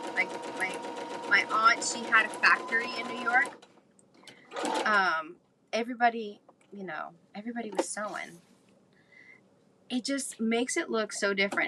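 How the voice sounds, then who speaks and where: Amid noticeable background noise, a woman's loudness swings widely and she pauses long and often. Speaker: crafter and journal maker. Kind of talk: craft tutorial livestream. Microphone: no microphone, audio going in and out.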